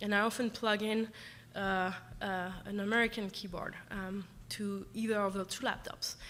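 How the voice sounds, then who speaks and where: In a French accent, a woman speaks at a medium pitch and a moderate pace. Her intonation is monotone and flat, and the room has audible echo. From France. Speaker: professor. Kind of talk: lecture. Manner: halting, many fillers.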